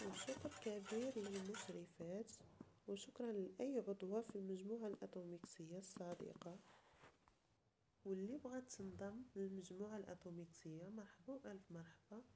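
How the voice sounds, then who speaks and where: A somewhat breathy woman's voice with a Moroccan accent, medium pitch, dark, mellow tone and ordinary pitch variation. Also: moderate pace. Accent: Moroccan Darija. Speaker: cooking YouTuber. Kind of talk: cooking tutorial.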